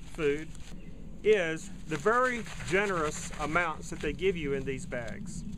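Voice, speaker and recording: A man with a high pitch and lively intonation speaks at a fairly slow pace over noticeable background noise. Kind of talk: product review. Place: garden. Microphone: phone near.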